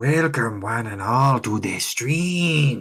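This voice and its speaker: A man speaks in a raspy, put-on character voice at a medium pitch and a very slow pace. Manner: theatrical, spooky welcome.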